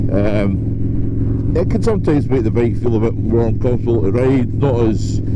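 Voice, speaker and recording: Fairly even intonation runs through moderately paced speech amid noticeable background noise. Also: man. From Scotland. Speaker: motovlogger. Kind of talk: casual moto vlog talk to camera. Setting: outdoors, riding a motorcycle.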